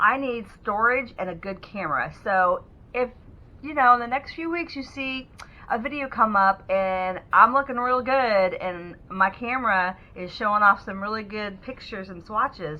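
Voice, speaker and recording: A woman speaks with a fairly high pitch, lively intonation and big swings in loudness. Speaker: beauty vlogger. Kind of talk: product review. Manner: fast; casual.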